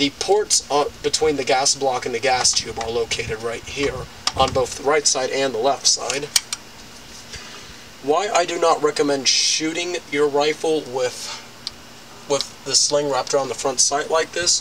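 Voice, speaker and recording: Fairly slow speech with ordinary pitch variation and long, frequent pauses, over noticeable background noise. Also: man. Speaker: recreational shooter. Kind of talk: casual tutorial talk to camera. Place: garden. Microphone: camera far.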